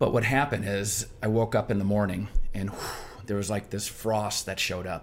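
A man with an American accent speaks at a moderate pace in a fairly low pitch. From Michigan. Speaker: restaurant chain founder and entrepreneur. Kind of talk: interview. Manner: animated.

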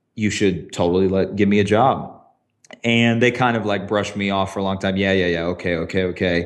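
A man with an American accent speaks at a fairly quick pace and fairly low pitch. His intonation stays fairly even, with audible room echo. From US South, small town. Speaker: tech creative director, former TV production. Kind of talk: interview conversation.

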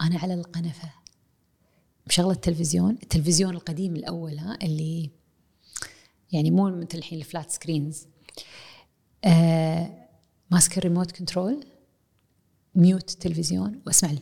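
A woman speaks in a fairly low, dark, mellow tone that is somewhat breathy, with ordinary pitch variation. Her pace is moderate, with long, frequent pauses and big swings in loudness. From Kuwait. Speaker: university professor. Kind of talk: casual chat. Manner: mixes English and Arabic.

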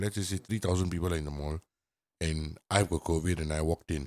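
Over a silent background in a very clean recording, the speech moves at a fairly quick pace. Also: man. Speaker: podcast co-host. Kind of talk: casual chat. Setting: studio.

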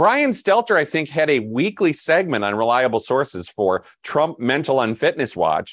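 A man talks at a moderate pace with hardly any pauses, his fairly high pitch swinging very widely, with vocal fry. The background is quiet. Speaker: media analyst and editor. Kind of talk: casual chat.

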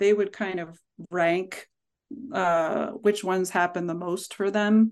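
With a plain, everyday voice, a woman in an American accent speaks fairly slowly at a medium pitch with ordinary pitch variation against a quiet background. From Pittsburgh, US. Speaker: speech-language pathologist and professor. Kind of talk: casual interview conversation.

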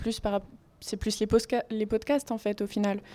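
A woman speaks at medium pitch in a dark, mellow tone. The recording is very clean, with a silent background. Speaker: university student. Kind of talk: radio interview.

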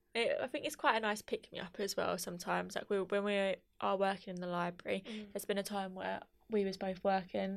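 A woman with a normal speaking voice talks at a fairly quick pace and a medium pitch, in a very clean recording with a silent background. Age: 20s. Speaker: undergraduate education student. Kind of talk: casual chat.

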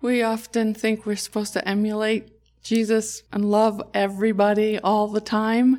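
A woman speaks in a flat monotone at a fairly high pitch. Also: moderate pace, very clean recording, silent background. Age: 60s. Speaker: nurse. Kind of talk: casual chat.

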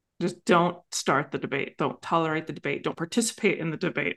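A woman with an ordinary speaking voice, fairly low in pitch, at a moderate pace. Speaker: coach and podcast host. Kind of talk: coaching conversation.

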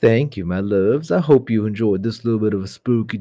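The speaker reads aloud plainly, with ordinary variation in pitch.

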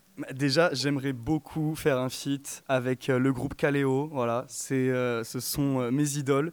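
Delivered in a flat monotone at a very slow pace, the speech comes in a very clean recording with a silent background. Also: man, medium pitch for a man. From Provence, France. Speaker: singer, music student. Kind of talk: radio interview. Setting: studio.

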